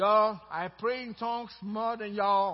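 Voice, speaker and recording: A man's drawling, fairly slow put-on character voice, high-pitched, with a Texan accent. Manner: imitating a Texan drawl, admittedly imperfect.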